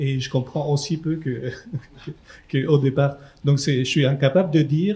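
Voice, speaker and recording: A man with a Chilean accent, fairly high in pitch, somewhat breathy with a dark, mellow tone, fairly even intonation and a fairly slow pace. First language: Spanish (speaking French). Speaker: neuroscientist. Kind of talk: panel discussion. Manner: halting, repetitive.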